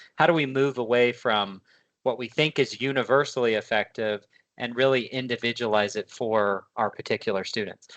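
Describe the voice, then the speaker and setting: Over a quiet background, a man speaks at a medium pitch with fairly even intonation, the sound dry and close with no echo. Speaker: education consultant. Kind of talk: webinar presentation. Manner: fast.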